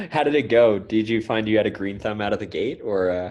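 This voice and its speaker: Over a quiet background, a man with a Californian accent and a fairly low pitch speaks at a very fast pace. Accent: Californian American. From US West Coast, Santa Cruz. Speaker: podcast host. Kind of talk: podcast interview.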